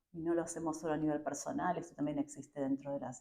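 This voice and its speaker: Her voice is very deep and low, dark and mellow in tone. This woman speaks at a fairly quick pace. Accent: Argentine. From Argentina. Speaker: education professor. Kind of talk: interview. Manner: hesitant, many fillers.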